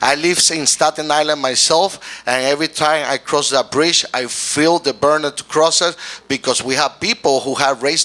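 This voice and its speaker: Speaking with a Puerto Rican accent, a man uses a fairly high pitch, ordinary pitch variation and a moderate pace. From Puerto Rico. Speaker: mayoral candidate, pastor and community leader. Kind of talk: political forum interview. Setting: stage with audience. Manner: halting, with self-corrections.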